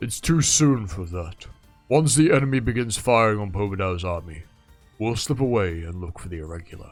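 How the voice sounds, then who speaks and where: A man does a put-on character voice at fairly low pitch, with lively intonation and a fairly quick pace. Faint music plays in the background. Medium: solo performance. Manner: cool, self-assured.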